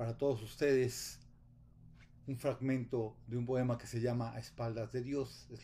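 In a Mexican accent, a man talks fairly slowly in a flat monotone, his tone dark and mellow and somewhat breathy. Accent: Mexican Spanish (Jalisco). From Guadalajara, Mexico. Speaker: poet. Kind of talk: poetry reading with a spoken greeting and message of solidarity. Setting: video message recorded remotely. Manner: solemn, measured, reflective. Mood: calm, solemn. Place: home room. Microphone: webcam.

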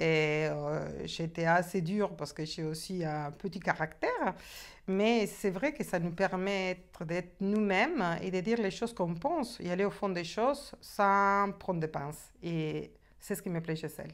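A woman at a fairly slow pace with ordinary pitch variation, over a quiet background. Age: 50s. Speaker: coaching client giving a testimonial. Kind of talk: testimony. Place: home room.

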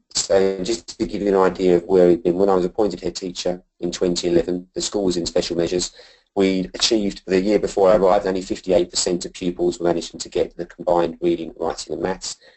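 Man with very deep, low pitch, monotone, flat intonation, fairly quick pace, hardly any pauses, quiet background. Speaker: school head teacher presenting. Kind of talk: presentation. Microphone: video call.

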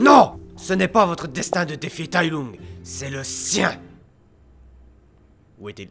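A man does a put-on character voice, raspy and fairly high-pitched, talking at a fairly slow pace with very wide pitch swings and long, frequent pauses while faint music plays in the background. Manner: stern, commanding.

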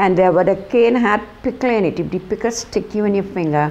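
A woman talks at a moderate pace with lively intonation. She speaks in a Trinidadian accent. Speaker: former cane cutter. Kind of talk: testimony. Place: home room. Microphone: lapel.

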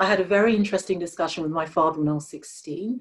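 A woman's pitch varies in an ordinary way as she speaks over a quiet background. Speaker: diversity and inclusion leader, guest speaker. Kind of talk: presentation and Q&A on a webinar. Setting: video call. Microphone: video call.

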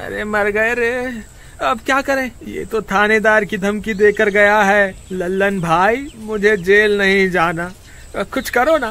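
In a put-on character voice, a man speaks in a raised, projected, whiny voice at a high pitch and fairly slow pace, with ordinary pitch variation. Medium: read story. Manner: panicky, whining.

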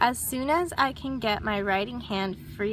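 With ordinary pitch variation, the voice reads aloud naturally.

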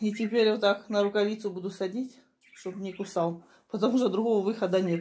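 Her intonation monotone and flat, a woman speaks at a fairly quick pace. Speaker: home vlogger. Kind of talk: casual vlog chat. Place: kitchen. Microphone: phone near.

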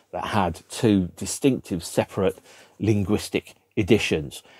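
In a British accent, a man talks at a fairly slow pace in a dark, mellow tone with ordinary pitch variation, the sound dry with no echo and the background quiet. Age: 50s. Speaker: music video blogger. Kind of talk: solo monologue to camera about a record album. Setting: home room with record shelves behind. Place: home room.

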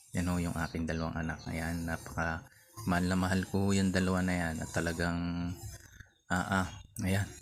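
Over noticeable background noise, a man with a very deep, low voice talks at a fairly quick pace, with long, frequent pauses. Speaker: vlogger. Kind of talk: vlog narration. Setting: outdoors. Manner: animated.

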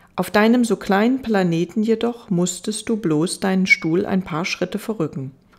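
A woman with an unremarkable speaking voice talks at a medium pitch with ordinary pitch variation and hardly any pauses. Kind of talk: audiobook reading aloud, bedtime story narration. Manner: slow, soft, gentle and soothing; wistful, melancholic storytelling tone.

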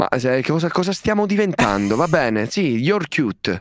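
A man's fairly high voice with very wide pitch swings at a moderate pace, in a dry sound with no echo. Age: 20s. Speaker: streamer. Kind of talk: casual chat. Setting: video call. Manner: halting. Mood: joking, mildly exasperated. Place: home room.

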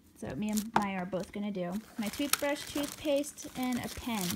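Loud background noise fills the recording while a woman talks at a moderate pace. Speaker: vlogger. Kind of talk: casual vlog chat. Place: home room. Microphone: phone near.

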